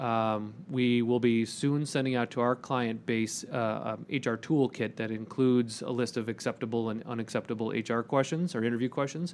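Using a normal speaking voice, a man of medium pitch talks at a moderate pace with fairly even intonation and hardly any pauses. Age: 40s. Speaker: HR executive. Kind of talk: casual chat.

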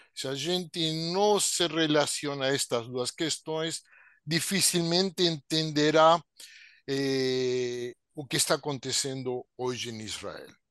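In a Spanish accent, a man with a fairly high pitch talks at a very slow pace with ordinary pitch variation, dry and close with no echo against a quiet background. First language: Spanish (speaking Portuguese). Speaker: sociologist. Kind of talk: webinar talk, expository.

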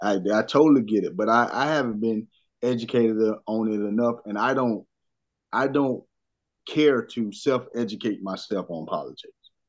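With an ordinary speaking voice, a man talks at a moderate pace and medium pitch, using ordinary pitch variation over a quiet background. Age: 30s. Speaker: former basketball player, sports podcaster. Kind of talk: casual chat.

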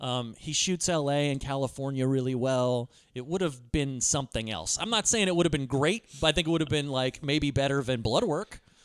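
With hardly any pauses, a man talks at a moderate pace and fairly high pitch, with ordinary pitch variation and a plain, everyday voice. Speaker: podcast host. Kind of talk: casual banter, movie discussion.

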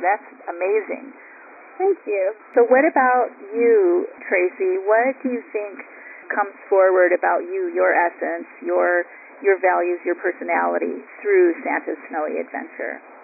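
A woman speaks at a fairly slow pace. Noticeable background noise sits behind her. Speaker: radio interviewer. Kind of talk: interview.

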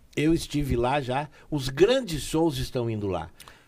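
On a very clean recording with a silent background, a man with an unremarkable speaking voice talks at medium pitch with lively intonation. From Taquara, Rio Grande do Sul, Brazil. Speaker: singer. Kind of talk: casual interview.

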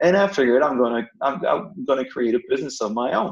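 A man's medium-pitched voice with a French accent. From northern France. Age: 40s. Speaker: business owner, former university professor. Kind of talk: personal story interview. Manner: halting.

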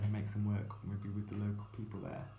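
Somewhat breathy, the man's voice has a very deep, low pitch. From England. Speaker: live art producer and curator. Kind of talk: interview conversation. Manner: hesitant, many fillers.

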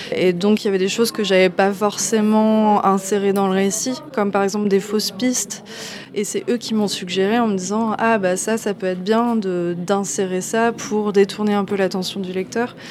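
A woman speaks at a moderate pace in a medium pitch with flat, monotone intonation over noticeable background noise. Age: 30s. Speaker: comic book author. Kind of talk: interview. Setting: comics festival.

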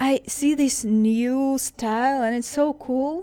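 A woman with a Russian accent, high-pitched, with a dark, mellow tone and a very slow pace. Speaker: MMA fighter. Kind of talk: interview. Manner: halting.

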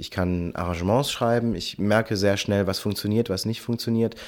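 A man speaks in a very clean recording against a silent background. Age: 30s. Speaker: choir director and beatboxer. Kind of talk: interview.

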